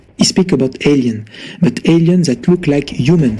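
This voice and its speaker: A man speaks with a French accent and lively intonation. Noticeable background noise runs behind him. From France. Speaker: caller. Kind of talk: casual chat. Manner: halting.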